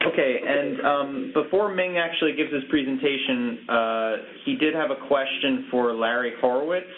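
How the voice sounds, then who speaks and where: A man talks at a moderate pace with a fairly high pitch, ordinary pitch variation and very even loudness. Noticeable background noise is present. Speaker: webinar moderator. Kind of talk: webinar moderation. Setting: online webinar call.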